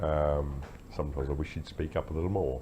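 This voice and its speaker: With an Australian accent, a man speaks at a moderate pace in a very deep, low, somewhat breathy voice and a monotone, flat intonation. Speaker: vlogger, army veteran. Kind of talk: casual talk to camera. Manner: halting, many fillers.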